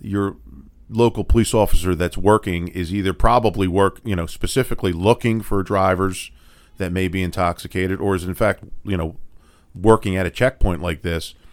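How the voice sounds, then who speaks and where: In a very clean recording with a silent background, a man with an American accent speaks in a very deep, low voice at a fairly quick pace with fairly even intonation. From Philadelphia. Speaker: defense attorney, podcast co-host. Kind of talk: legal explainer podcast chat.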